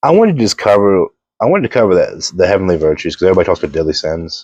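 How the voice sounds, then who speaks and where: A man at a very fast pace, with a dry, close sound and no echo. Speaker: video blogger. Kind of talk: casual monologue. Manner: animated.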